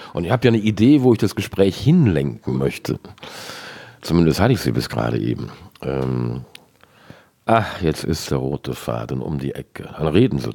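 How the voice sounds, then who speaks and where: Very deep and low, a man's voice has a dark, mellow tone with vocal fry. His pitch swings very widely, and he leaves long, frequent pauses. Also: moderate pace. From western Germany. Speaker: podcast host. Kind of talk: interview.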